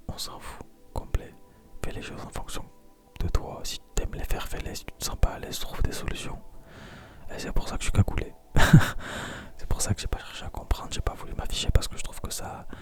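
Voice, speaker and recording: A man whispers calmly at a fairly quick pace, with big swings in loudness. Long, frequent pauses break it up over noticeable background noise. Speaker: ASMR content creator. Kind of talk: confessional talk to camera about life. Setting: recorded alone at night, intimate close microphone. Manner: whispered, soft-spoken, calm; tired, hesitant, pausing often.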